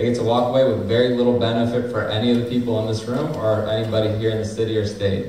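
A man talks at a very fast pace with hardly any pauses, his intonation flat and monotone. Light background noise and audible room echo are present. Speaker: community and labor organizer. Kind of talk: speech at a teach-in panel. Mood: critical, advocating. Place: hall. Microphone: camera far.

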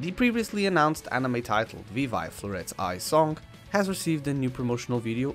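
A fairly high-pitched male voice at a fairly quick pace, with very wide pitch swings and music in the background. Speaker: anime news youtuber. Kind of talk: anime news narration.

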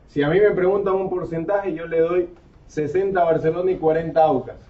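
With fairly even intonation, a man talks fairly high at a fairly quick pace. Room echo is audible.

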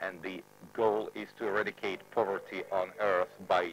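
A man at a fairly slow pace with music in the background. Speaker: speaker. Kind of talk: formal conference speech. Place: hall. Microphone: podium.

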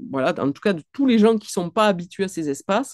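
A woman speaks with a strong southwestern French accent, her tone dark and mellow and her intonation lively. The sound is dry with no echo, over a quiet background. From southwestern France. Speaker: clinical psychologist and author; guest. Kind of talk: online book talk. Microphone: webcam.

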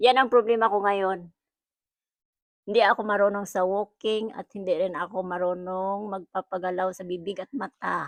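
Against a quiet background, a woman talks at a moderate pace and medium pitch with fairly even intonation and big swings in loudness, the sound dry and close with no echo. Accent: strong Visayan. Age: old. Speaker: amateur animator. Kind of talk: casual chat.

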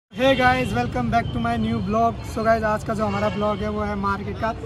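A man at a moderate pace, dry sound with no echo, crowd noise behind him. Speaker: vlogger. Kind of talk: casual vlog chat. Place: market. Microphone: phone near.

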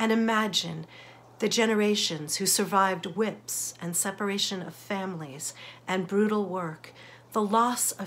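A woman's voice at a fairly slow pace, with ordinary pitch variation and light background noise. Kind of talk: sermon reflection. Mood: earnest, reflective, warm. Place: home room. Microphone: phone near.

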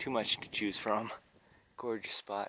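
A man speaks at a moderate pace in a fairly low voice with a bright, sharp tone, recorded dry with no echo over light background noise. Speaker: painter vlogger. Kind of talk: casual vlog chat. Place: open country. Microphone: phone near.

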